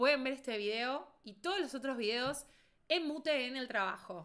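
High-pitched woman with lively intonation at a fairly slow pace over a quiet background. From Argentina. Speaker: beauty content creator. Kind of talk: casual livestream commentary. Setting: livestream. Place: home room.

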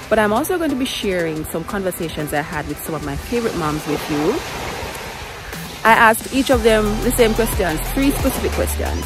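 A woman at a moderate pace, dry with no echo, with clear music in the background. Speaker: vlogger mother. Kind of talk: casual vlog chat. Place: beach. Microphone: phone near.

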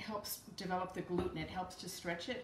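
A woman's voice carries audible room echo, with light background noise. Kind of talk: tutorial. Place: kitchen. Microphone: camera far.

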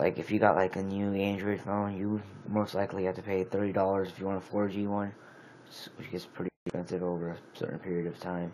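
Light background noise sits behind a man with a fairly low pitch who speaks in a monotone, flat intonation at a fairly quick pace. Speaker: amateur phone reviewer. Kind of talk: casual product review. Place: home room. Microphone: phone near.

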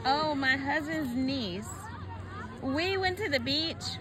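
A woman's dry voice with no echo, set against crowd noise in the background. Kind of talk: casual vlog chat, storytelling. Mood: amused, chatty. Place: beach. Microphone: phone near.

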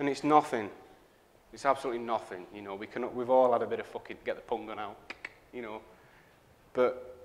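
A man speaks at a fairly quick pace with a Northern English accent. His pitch varies in an ordinary way. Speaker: graphic designer. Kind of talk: live conference talk. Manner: sweary, powerful delivery. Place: hall.

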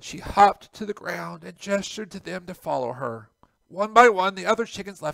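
Against a quiet background, the speaker reads in a natural reading voice.

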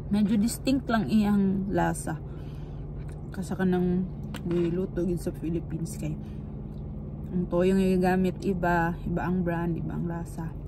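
Noticeable background noise sits behind a woman's fairly low voice. She speaks at a fairly slow pace with fairly even intonation. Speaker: trucker vlogger. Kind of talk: casual vlog chat. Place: car. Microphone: phone near.

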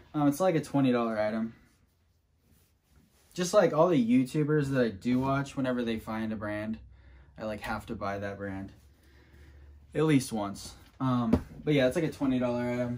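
A man at a moderate pace, with ordinary pitch variation and long, frequent pauses. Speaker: thrift reseller. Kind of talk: casual vlog chat. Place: home room. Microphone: camera far.

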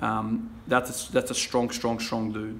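At a moderate pace, a man delivers his words. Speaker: fitness vlogger. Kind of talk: casual vlog chat. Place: garage. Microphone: phone near.

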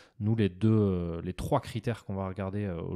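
A man speaks at a moderate pace with a dark, mellow tone and a fairly low pitch. His intonation is fairly even, and the sound is dry and close with no echo on a very clean recording with a silent background. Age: 30s. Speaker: bank advisor trainer, ex-tennis pro. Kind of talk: casual interview chat. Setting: recorded in his short-term rental apartment.

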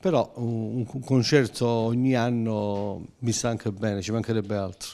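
A man's dark, mellow tone at a fairly slow pace, with fairly even intonation. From Calabria, Crotone; Calabria. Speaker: dialect singer-songwriter. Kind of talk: interview. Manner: halting. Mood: calm, content. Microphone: handheld.

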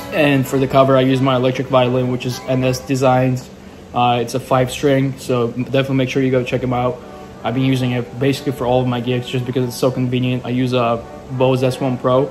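Clear music plays in the background as a man talks at a very fast pace in a monotone, flat intonation. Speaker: musician vlogger. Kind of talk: casual vlog chat. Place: home room. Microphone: phone near.

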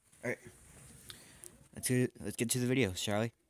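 A man speaks at a very fast pace, the sound dry and close with no echo. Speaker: gaming/reaction YouTuber. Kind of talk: casual reaction video. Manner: casual, hesitant with fillers.

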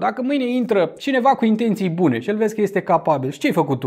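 A man's voice with very wide pitch swings against a quiet background. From Romania. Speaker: YouTuber commenting on news. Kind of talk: casual news commentary to camera. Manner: conversational, animated. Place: home room. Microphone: lapel.

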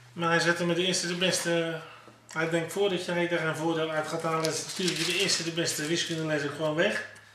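Over noticeable background noise, a man talks at a fairly quick pace in a high pitch with monotone, flat intonation and very even loudness. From Netherlands, South Holland (Pijnacker); South Holland, Netherlands. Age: 50s. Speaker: former professional footballer. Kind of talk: interview; interview answer. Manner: halting. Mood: reflective, nostalgic. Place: home room.

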